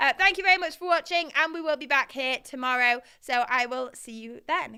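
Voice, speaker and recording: A woman is speaking. Her intonation is lively. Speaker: crypto news livestream host. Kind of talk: live stream commentary.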